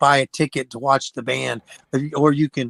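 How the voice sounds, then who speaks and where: This man has an unremarkable speaking voice, fairly high in pitch, moving at a fairly quick pace. The sound is dry and close, without echo. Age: 60s. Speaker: rock band singer. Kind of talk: casual chat.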